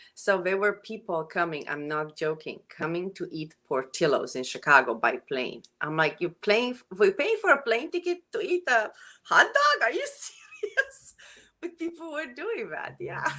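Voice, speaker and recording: A woman's fairly high voice with a Romanian accent, very wide pitch swings, big swings in loudness and a moderate pace. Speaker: interview guest. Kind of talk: casual chat.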